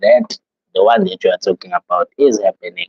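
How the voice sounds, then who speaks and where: Here a man speaks with a South African accent. The sound is dry and close, with no echo. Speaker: livestreamer. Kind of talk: casual live stream chat. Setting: live stream. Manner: casual, many fillers.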